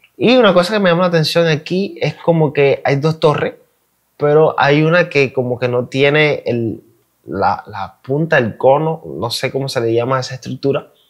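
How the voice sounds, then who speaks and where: This is an unremarkable speaking voice. It keeps a moderate pace with ordinary pitch variation. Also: man, fairly high pitch for a man. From Cuba. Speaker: YouTube reaction creator. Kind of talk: casual reaction commentary.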